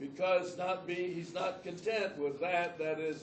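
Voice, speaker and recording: Over noticeable background noise, a man with a high pitch speaks at a very slow pace. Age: 80s+. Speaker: Bible professor. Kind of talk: classroom lecture.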